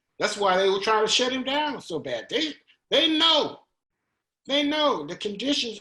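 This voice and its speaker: This man talks at a fairly slow pace in a raised, projected voice, his pitch extremely high and his intonation lively. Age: 70s. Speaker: artist and former activist. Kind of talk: interview. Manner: halting, with many restarts.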